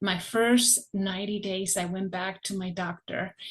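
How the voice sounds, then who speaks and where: Somewhat breathy, a woman of medium pitch speaks at a fairly slow pace. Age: 60s. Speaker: product customer giving a testimonial. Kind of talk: testimony.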